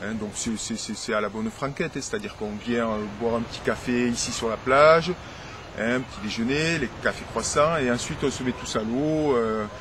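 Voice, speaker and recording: This is a man's voice at a medium pitch. Background noise is noticeable throughout. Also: ordinary pitch variation, moderate pace. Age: 40s. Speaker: teacher and lifeguard, writer. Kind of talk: interview. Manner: hesitant, many fillers.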